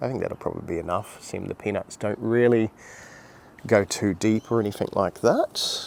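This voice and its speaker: A quiet man with an Australian accent, fairly low in pitch, with fairly even intonation. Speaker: gardening youtuber. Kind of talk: casual vlog walkthrough. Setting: outdoors in garden, early morning. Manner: rambling, conversational.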